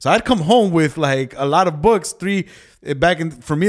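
A man's plain, everyday voice, fairly high in pitch, at a moderate pace. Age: 30s. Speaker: pastor and podcast co-host. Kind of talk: casual chat.

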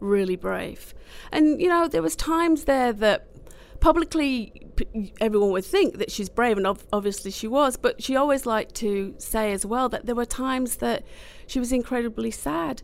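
A woman speaks at a high pitch at a moderate pace, her pitch swinging very widely. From Manchester, England. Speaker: charity co-founder. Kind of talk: interview.

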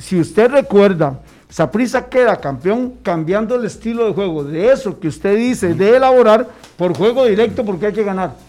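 Over background music, a man speaks at a moderate pace in a high pitch with lively intonation. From Costa Rica, Heredia. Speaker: former footballer. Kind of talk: casual chat.

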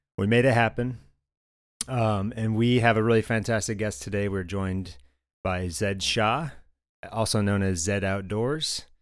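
On a very clean recording with a silent background, a man with a fairly low pitch and ordinary variation speaks at a moderate pace. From Michigan, US. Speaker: podcast host. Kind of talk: casual interview.

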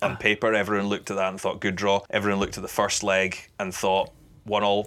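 A man speaks with a Scottish accent at a fairly low pitch, in a bright, sharp tone. His intonation stays monotone and flat, and the recording is very clean with a silent background. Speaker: football commentator. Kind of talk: casual interview chat.

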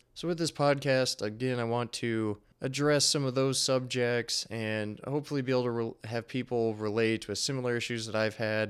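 Speaking at a moderate pace, a man has a medium pitch, fairly even intonation and an unremarkable speaking voice. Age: 20s. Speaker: podcast host, engineer and endurance athlete. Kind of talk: solo podcast monologue.

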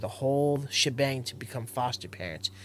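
This man has an ordinary speaking voice with an American accent and ordinary pitch variation. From Central Florida. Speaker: entrepreneur in addiction recovery. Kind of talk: casual chat. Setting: outdoors.

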